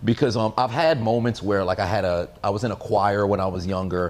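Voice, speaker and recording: A man with a fairly low voice talks at a very fast pace. His tone is animated and energetic. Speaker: podcast host. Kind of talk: casual chat.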